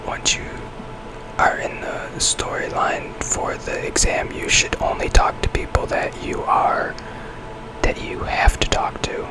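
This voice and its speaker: Whispering comes at a very slow pace, with noticeable noise in the background. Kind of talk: ASMR whisper gameplay commentary. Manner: whispered.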